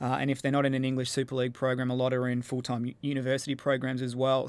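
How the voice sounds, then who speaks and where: Speaking very fast with a monotone, flat intonation, a man talks with an Australian accent. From Australia, Melbourne. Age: 30s. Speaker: netball coach. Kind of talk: interview. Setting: studio.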